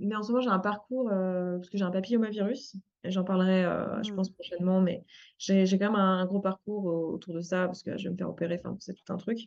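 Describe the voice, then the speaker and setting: Fairly quick and fairly even in intonation, a woman speaks at medium pitch in a plain, everyday voice. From France. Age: 30s. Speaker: life coach and entrepreneur. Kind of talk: interview. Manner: casual, many fillers.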